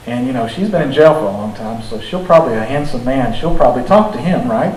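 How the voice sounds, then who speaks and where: The pitch swings very widely, with audible room echo and noticeable background noise. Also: man. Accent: American. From Arkansas, US South. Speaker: defense lawyer. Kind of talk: talk with Q&A. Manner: animated.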